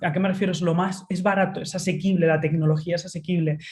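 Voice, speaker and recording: Somewhat breathy woman's voice at medium pitch, with a Spanish accent. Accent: Spanish (Spain). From Spain. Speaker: tech futurist speaker. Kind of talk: webinar talk. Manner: frequent fillers (eh).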